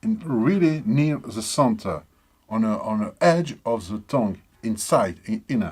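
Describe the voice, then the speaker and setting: In a very clean recording with a silent background, a man with a non-native accent speaks very slowly at a medium pitch, his voice swinging very widely in pitch. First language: not English. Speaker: musician demonstrating instrument tuning. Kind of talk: tutorial. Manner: halting.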